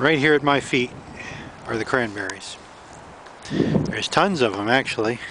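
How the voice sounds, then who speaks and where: Over noticeable background noise, a man speaks at a moderate pace with ordinary pitch variation and a dry sound with no echo. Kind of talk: casual vlog narration. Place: waterside. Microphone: phone near.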